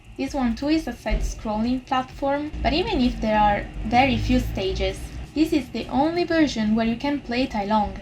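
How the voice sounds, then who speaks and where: A woman with an Italian accent speaks at a moderate pace against noticeable background noise. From Italy. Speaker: YouTuber and VTuber reviewer. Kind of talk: scripted review narration. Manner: quiet, not loud. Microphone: poor audio quality.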